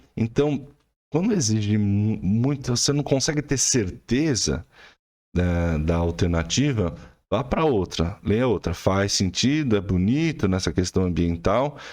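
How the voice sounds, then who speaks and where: The speech moves at a fairly slow pace with very wide pitch swings and very even loudness against a quiet background. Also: man, fairly low pitch for a man. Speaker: art teacher. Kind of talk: tutorial.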